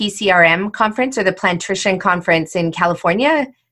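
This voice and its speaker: On a very clean recording with a silent background, a woman with an ordinary speaking voice talks at a moderate pace with ordinary pitch variation. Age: 40s. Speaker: podcast host. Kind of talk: interview.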